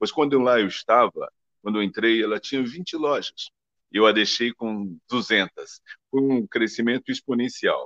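Heard in a dry, close recording with no echo, a man speaks at a fairly slow pace. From Brazil. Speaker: ballet dancer and advertising figure. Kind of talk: interview. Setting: live stream. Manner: halting.

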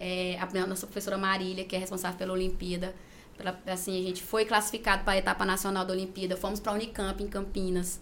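A woman speaks at a very fast pace in a monotone, flat intonation. Room echo is audible. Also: medium pitch for a woman. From Gurupi, Tocantins, Brazil. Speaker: school principal and teacher. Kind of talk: interview.

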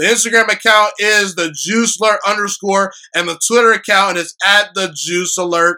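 A man projects a raised, high, bright and sharp voice at a moderate pace. The recording is very clean with a silent background. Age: 20s. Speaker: sports podcast host. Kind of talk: solo sports commentary podcast. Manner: animated.

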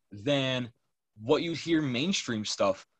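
A man's normal speaking voice, fairly high in pitch with ordinary pitch variation, at a fairly slow pace with an American accent. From Massachusetts, US. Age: young. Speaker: hip hop producer. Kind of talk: casual chat.

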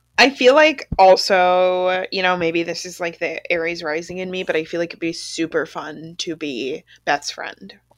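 Delivered at a moderate pace with hardly any pauses, an unremarkable speaking voice shows ordinary pitch variation and big swings in loudness. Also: woman, fairly low pitch for a woman. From Canada. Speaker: podcast co-host. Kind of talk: casual chat.

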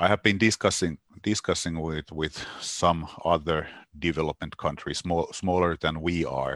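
In a Finnish accent, a man speaks with a very deep, low pitch and fairly even intonation, recorded with a dry, close sound with no echo against a quiet background. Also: moderate pace. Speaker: games industry association representative. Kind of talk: interview. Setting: remote call. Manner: halting, many repetitions.

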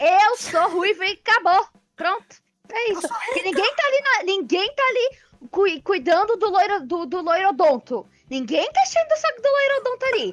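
A woman's extremely high-pitched voice at a moderate pace, with very wide pitch swings. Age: 20s. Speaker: podcast co-host. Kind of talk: casual chat.

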